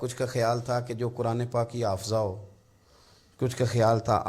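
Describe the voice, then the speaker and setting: A dark, mellow, somewhat breathy tone in a very clean recording with a silent background. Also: man. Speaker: Islamic scholar giving a religious sermon. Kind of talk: Islamic sermon (bayan) delivered to an audience, storytelling.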